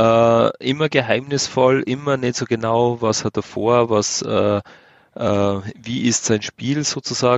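A man with a mid-range pitch talks very slowly, his intonation fairly flat. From Austria. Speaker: podcast co-host. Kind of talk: casual chat.

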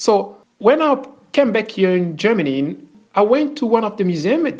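A man speaks at a moderate pace, his pitch swinging very widely up and down. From DR Congo, Kinshasa. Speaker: Luba royal descendant. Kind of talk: testimony. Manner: halting.

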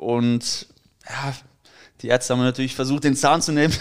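His intonation stays fairly even and his pitch is medium for a man. The audio is very clean against a silent background. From Dortmund, Germany. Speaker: former footballer, youth coach. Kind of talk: casual interview. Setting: at his home.

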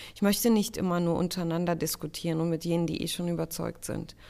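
An ordinary speaking voice from a woman, fairly low in pitch and moderate in pace, on a very clean recording with a silent background. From Germany, child of refugee parents. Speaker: state secretary and politician. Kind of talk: interview.

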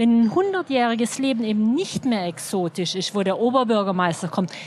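Lively intonation in a woman's fairly high-pitched voice, with noticeable background noise. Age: 50s. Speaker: journalist and author. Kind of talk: live interview on stage. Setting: stage at a festival.

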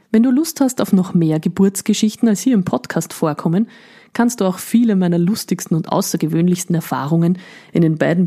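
With a dark, mellow tone and a fairly low pitch, a woman speaks at a fairly quick pace, somewhat breathy, with lively intonation. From Upper Austria. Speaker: midwife, podcast host. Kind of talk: scripted podcast introduction.

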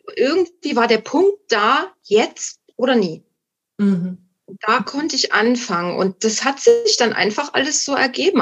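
Speaking high for a woman, she swings her pitch very widely. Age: 50s. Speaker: guest sharing recovery from alcohol addiction. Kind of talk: casual interview chat. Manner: halting, many fillers and restarts.

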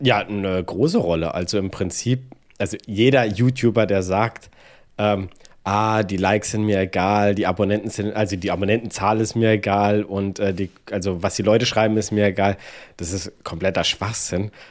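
With a normal speaking voice, a man talks at a moderate pace and a fairly low pitch, his intonation fairly even. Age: 30s. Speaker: iOS developer and YouTuber. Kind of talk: casual interview chat.

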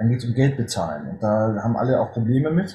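Against noticeable background noise, a man talks very fast with lively intonation. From northern Germany. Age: 40s. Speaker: hunting filmmaker and police officer. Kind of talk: interview. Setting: video call.

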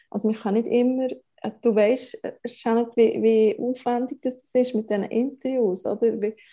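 Fairly high in pitch, a woman's voice has a dark, mellow tone and a Bernese accent. She keeps a fairly slow pace and fairly even intonation. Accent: Bernese Swiss German. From Switzerland, Bern. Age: 30s. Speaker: family blogger and media spokesperson. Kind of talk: interview.

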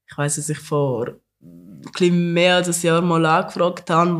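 The man's voice sits at a fairly high pitch. His intonation is monotone and flat, and his pace is moderate. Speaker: podcast host. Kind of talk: casual chat.

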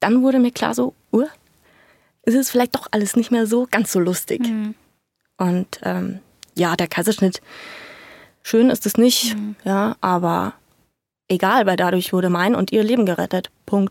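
A woman speaks at a fairly slow pace and medium pitch with ordinary pitch variation, taking long, frequent pauses. The sound is dry and close, with no echo. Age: 20s. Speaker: young mother. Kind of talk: casual interview. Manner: animated.

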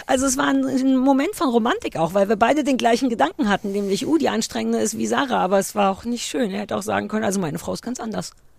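A woman talking at a very fast pace with hardly any pauses amid noticeable background noise. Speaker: podcast co-host. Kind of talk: casual chat. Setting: outdoors.

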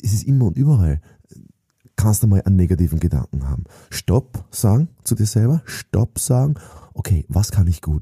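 At a moderate pace, a man speaks in a dark, mellow, somewhat breathy tone with lively intonation and a dry, close sound with no echo. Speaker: sales trainer and author. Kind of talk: motivational monologue.

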